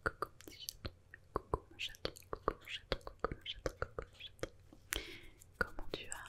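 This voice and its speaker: A woman whispers at a moderate pace, with long, frequent pauses and big swings in loudness. Noticeable background noise sits behind her. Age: 20s. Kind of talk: ASMR whispered talk to viewer. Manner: whispered.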